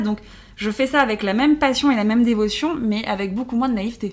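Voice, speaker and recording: A woman speaks fairly quickly in a normal speaking voice. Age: 30s. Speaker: social media influencer. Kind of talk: casual chat. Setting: hotel room.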